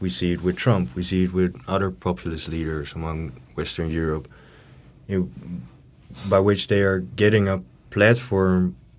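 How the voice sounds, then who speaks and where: A man with a Dutch accent, very deep and low in pitch, at a moderate pace with ordinary pitch variation and long, frequent pauses. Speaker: student politician. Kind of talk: panel discussion. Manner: halting.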